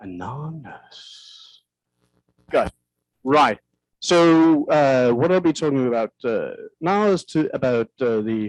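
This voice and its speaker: Fairly high-pitched man with a Danish accent, very slow pace, long, frequent pauses, lively intonation, and a dry, close sound with no echo. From Denmark. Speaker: film director. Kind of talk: lecture. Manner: halting.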